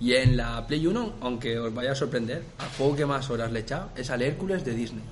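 Fairly quick speech from a medium-pitched man, with noticeable background noise and audible room echo. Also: ordinary pitch variation, hardly any pauses. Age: 20s. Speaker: videogame podcast co-host. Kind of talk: casual chat.

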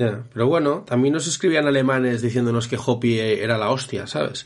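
A man with an unremarkable speaking voice talks at a medium pitch and moderate pace. His pitch variation is ordinary and his loudness very even. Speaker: football podcast host. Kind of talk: casual chat.

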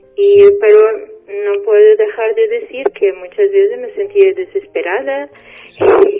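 A woman speaks at a very slow pace. Noticeable background noise runs beneath her. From Portugal. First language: Portuguese (speaking Spanish). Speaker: spiritual guest. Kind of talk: radio interview. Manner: halting.

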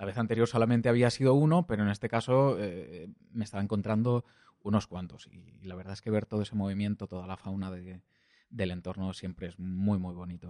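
In a Valencian accent, a man speaks fairly quickly in a dark, mellow tone, with big swings in loudness. The sound is dry and close with no echo, against a quiet background. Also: fairly low pitch for a man, ordinary pitch variation. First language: Valencian (speaking Spanish). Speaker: podcast host, hiker. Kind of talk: solo travel narration. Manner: hesitant, many fillers and repetitions.

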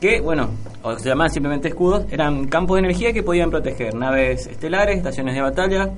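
Audible room echo and noticeable background noise surround a man speaking at a very fast pace. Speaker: radio co-host. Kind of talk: radio show.

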